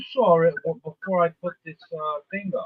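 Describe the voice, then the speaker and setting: Speaking at a fairly slow pace, a man with an American accent uses a high pitch. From Cape Cod, Massachusetts. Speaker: live stream co-host. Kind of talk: casual chat.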